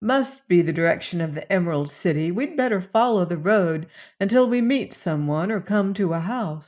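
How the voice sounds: A natural reading voice rises and falls with lively intonation.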